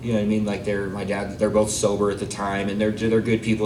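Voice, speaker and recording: A man with a General American accent speaks at a fairly low pitch. The room echo is audible, and there is noticeable background noise. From Arizona, US. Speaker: recovery speaker. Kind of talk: testimony. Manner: casual, halting with fillers.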